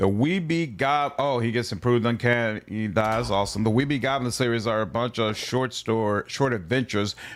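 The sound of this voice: The reading voice is unforced. Its pitch shifts in an ordinary way.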